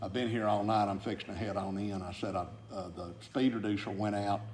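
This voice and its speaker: Heard with audible room echo, a man with a fairly low pitch speaks at a moderate pace in a monotone, flat intonation. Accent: Southern US. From Georgia, McDonough. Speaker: retired aggregates industry businessman. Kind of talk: oral history interview. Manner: halting, many fillers.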